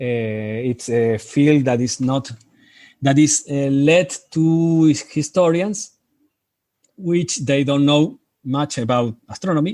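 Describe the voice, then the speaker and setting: On a very clean recording with a silent background, a man with a strong Spanish accent speaks very slowly in a dark, mellow tone, his pitch fairly high with ordinary variation. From Argentina. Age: 50s. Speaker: amateur astronomer, lunar section coordinator. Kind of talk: interview. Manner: halting, many hesitations and restarts.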